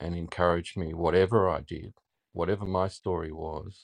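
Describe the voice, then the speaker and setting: Against a quiet background, a man with an Australian accent speaks in a very deep, low voice. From Melbourne, Australia. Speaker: listener joining a live podcast stage. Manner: slow, deliberate speaker.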